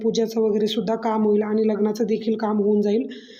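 A woman's dark, mellow voice, fairly high in pitch, with monotone, flat intonation and audible room echo. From Maharashtra, Shirur area. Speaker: vlogger, mother. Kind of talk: vlog voice-over.

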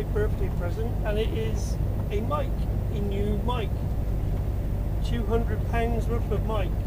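A man at a fairly slow pace against loud background noise. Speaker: truck driver vlogger. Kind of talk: casual vlog chat. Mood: relaxed, cheerful. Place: car.

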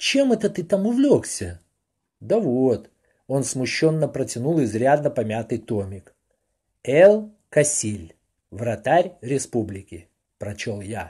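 Against a quiet background, a man speaks at a very slow pace in a somewhat breathy, dark, mellow voice with very wide pitch swings and big swings in loudness. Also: medium pitch for a man. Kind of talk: audiobook reading aloud of a printed foreword. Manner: even, measured, formal literary narration.

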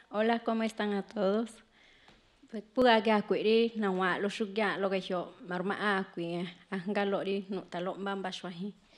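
A woman talks at a fairly slow pace in a monotone, flat way, with long, frequent pauses. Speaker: poet. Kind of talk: poetry reading, spoken word, with a brief spoken intro. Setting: stage with audience. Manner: earnest, measured, declamatory; rhetorical repeated questions, rhythmic delivery. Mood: earnest, calm. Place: stage. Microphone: studio mic.

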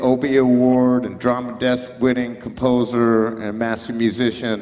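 The man speaks at a fairly slow pace. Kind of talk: stage introduction. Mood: warm, respectful. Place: cafe. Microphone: handheld.

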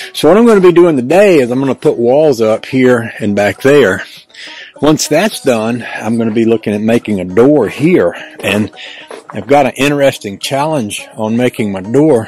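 The speech moves at a moderate pace with a dry sound and no echo, while faint music plays in the background. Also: man. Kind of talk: casual vlog chat. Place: open country. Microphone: phone near.

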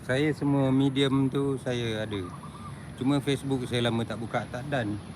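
There is noticeable background noise. A man talks at a medium pitch. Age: old. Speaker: live-streamer, tour vlogger. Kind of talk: live stream walking tour chat. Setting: outdoors, walking up a hill.

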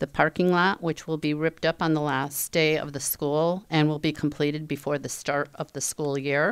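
Against a quiet background, a woman talks at a moderate pace in a very deep, low voice, monotone and flat, with hardly any pauses. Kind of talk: meeting report. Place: meeting room. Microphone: podium.

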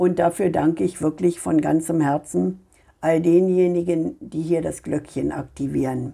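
A woman talks at a fairly slow pace in a fairly low pitch, with a dark, mellow tone and fairly even intonation. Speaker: tarot card reader. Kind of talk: monologue reading cards for viewers. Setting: home video recording.

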